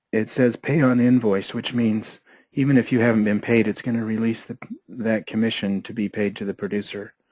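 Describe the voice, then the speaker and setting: Against a quiet background, a man has a normal speaking voice at a medium pitch, with fairly even intonation and a fairly quick pace. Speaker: software trainer. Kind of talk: tutorial.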